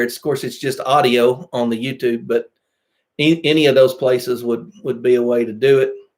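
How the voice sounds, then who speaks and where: A man's voice at a fairly slow pace. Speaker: pastor and podcast host. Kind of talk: casual chat. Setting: live stream.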